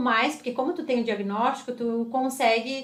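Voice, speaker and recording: Speaking at a fairly quick pace, a woman has a high-pitched voice. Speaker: psychologist and driving instructor. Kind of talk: casual interview chat. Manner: fast.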